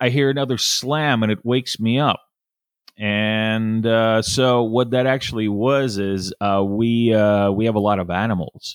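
A man's plain, everyday voice, medium in pitch, at a fairly slow pace with fairly even intonation. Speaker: business development professional. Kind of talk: casual interview chat.

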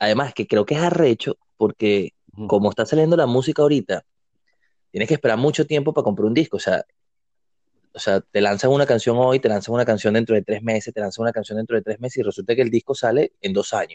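A man at medium pitch and a very fast pace, ordinary pitch variation, dry and close sound with no echo. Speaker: podcast co-host. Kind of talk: casual chat.

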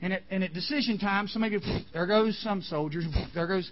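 A man's high voice with ordinary pitch variation at a fairly quick pace, with audible room echo. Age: 50s. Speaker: camp chapel speaker. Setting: camp chapel with audience. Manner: animated, conversational, voicing characters in quick back-and-forth dialogue; earnest, emotional, near tears.

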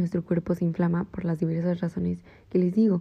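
A woman speaks at a moderate pace with a fairly low pitch and a dark, mellow tone. Her delivery is somewhat breathy, with monotone, flat intonation. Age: 20s. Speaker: podcast host. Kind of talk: personal reflection monologue.

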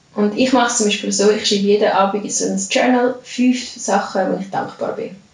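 A woman's fairly high voice at a fairly quick pace, with fairly even intonation, audible room echo and noticeable background noise. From Switzerland, Lucerne. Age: 30s. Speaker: yoga and fitness coach. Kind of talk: casual interview.

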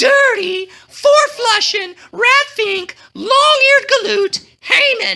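A put-on character voice moves at a slow pace. The tone is bright and sharp. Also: ordinary pitch variation.

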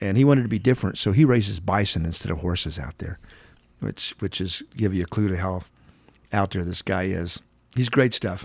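A man speaks with an American accent and a very deep, low pitch. The recording is very clean, with a silent background. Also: ordinary pitch variation, fairly quick pace. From Oklahoma. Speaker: real estate developer. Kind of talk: interview conversation.

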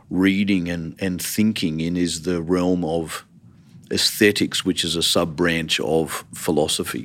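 On a very clean recording with a silent background, a man with an Australian accent speaks at a fairly slow pace in a very deep, low pitch. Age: 50s. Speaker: theology college dean. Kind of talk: interview.

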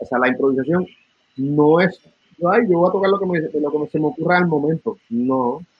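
A man with a plain, everyday voice, fairly high in pitch, at a moderate pace with ordinary pitch variation. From Puerto Rico. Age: 50s. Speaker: musician and music educator. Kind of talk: interview.

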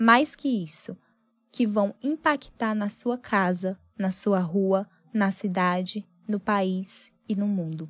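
A somewhat breathy woman at a medium pitch and a very slow pace, in a dry, close sound with no echo and a very clean recording with a silent background. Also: ordinary pitch variation. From Piauí semi-arid, northeastern Brazil. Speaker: journalist. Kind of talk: personal essay narration.

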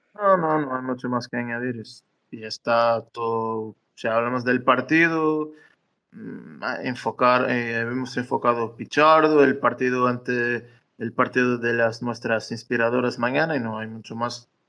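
An unremarkable speaking voice at a fairly slow pace, with fairly even intonation and big swings in loudness. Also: man, medium pitch for a man. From Madeira, Portugal. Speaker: football fan. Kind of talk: casual match analysis chat. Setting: live audio room on social media, recorded as podcast.

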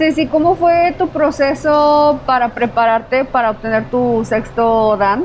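A high-pitched woman at a fairly slow pace, hardly any pauses and very even loudness, with noticeable background noise. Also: ordinary pitch variation. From Mexico, Ciudad Victoria, Tamaulipas. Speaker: podcast co-host. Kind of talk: interview. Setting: dojo, away from studio.

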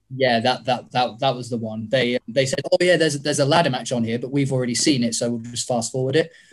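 At a very fast pace, a man of medium pitch speaks with fairly even intonation. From southern England. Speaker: wrestler. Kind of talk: casual chat.

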